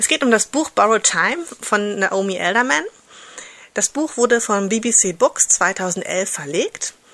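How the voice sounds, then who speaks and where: This woman has a bright, sharp tone at a medium pitch. Her pitch swings very widely, and she talks at a very slow pace. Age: 30s. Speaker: listener and book reviewer. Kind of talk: pre-recorded book review.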